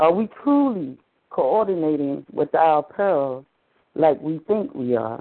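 A woman with a Southern US accent speaks very slowly in a very deep, low pitch, her intonation lively. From US South, eastern North Carolina. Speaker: minister. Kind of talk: sermon. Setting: phone conference line.

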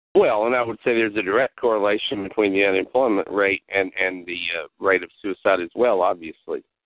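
This man has a fairly low pitch, an American accent and a plain, everyday voice. He talks at a fairly quick pace with fairly even intonation and hardly any pauses. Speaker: talk show host. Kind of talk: call-in talk show conversation. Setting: phone call.

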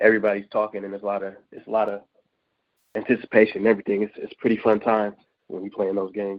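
Very fast speech comes from a man with an American accent. His fairly low voice stays monotone and flat. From Northern California Bay Area. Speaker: football prospect. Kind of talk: interview.

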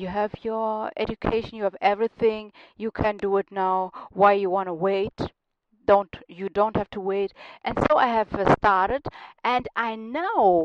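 The voice carries a German accent with fairly even intonation. The pace is fairly slow. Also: woman, medium pitch for a woman. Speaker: radio host and life coach. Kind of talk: radio show monologue. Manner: halting, with fillers and restarts.

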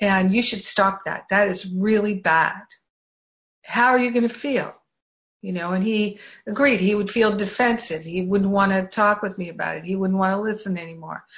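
Her intonation fairly even, a woman with a plain, everyday voice speaks at a medium pitch. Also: moderate pace. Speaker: spiritual class leader. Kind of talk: guided prayer and group class discussion. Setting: group video call.

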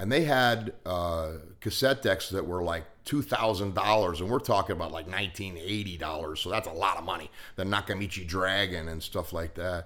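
A man with an American accent, a very deep, low pitch, and a bright, sharp tone, at a moderate pace with ordinary pitch variation. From western Pennsylvania. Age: 50s. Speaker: recovering alcoholic, former auto mechanic. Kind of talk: casual storytelling chat.

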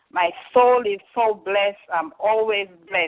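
With an unremarkable speaking voice, a woman talks at a moderate pace in a medium pitch. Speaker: caller sharing testimony. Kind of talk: testimony. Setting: phone call.

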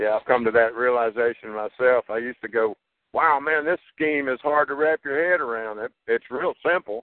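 Speaking with a Texan accent, a man uses medium pitch, ordinary pitch variation and a moderate pace. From Texas. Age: 60s. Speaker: caller. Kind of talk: casual chat. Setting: phone call.

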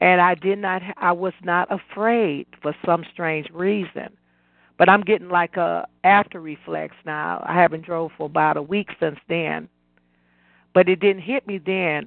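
A woman speaks with a normal speaking voice at a fairly low pitch. Her pace is fairly slow and her intonation fairly even. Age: 60s. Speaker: caller. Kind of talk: testimony.

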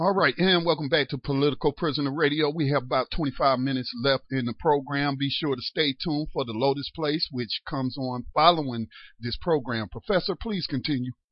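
A man's fairly quick delivery with hardly any pauses, fairly high pitch, ordinary pitch variation and an unremarkable speaking voice. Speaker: radio host. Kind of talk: talk radio. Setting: studio.

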